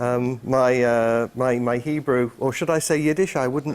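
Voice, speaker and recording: A man speaks with a British accent. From England. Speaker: conference speaker, IT enterprise architect. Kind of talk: conference talk. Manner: hesitant, many fillers.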